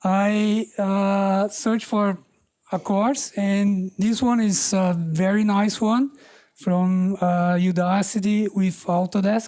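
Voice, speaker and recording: On a very clean recording with a silent background, a woman with a non-native accent speaks very slowly in a dark, mellow tone, her loudness very even and her intonation fairly even. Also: medium pitch for a woman. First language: not English. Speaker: meetup presenter, developer. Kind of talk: tech talk presentation. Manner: halting, many fillers.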